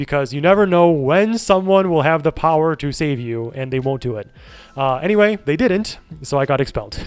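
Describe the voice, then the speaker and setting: A man talks at a fairly quick pace. His voice sits at a fairly high pitch. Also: lively intonation. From Chicago suburbs, US Midwest. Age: 30s. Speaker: streamer. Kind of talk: casual chat. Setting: live stream.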